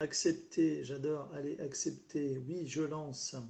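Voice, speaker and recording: Here a man talks. His voice sounds somewhat breathy. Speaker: live streamer. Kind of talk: casual live stream chat. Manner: halting, stumbling.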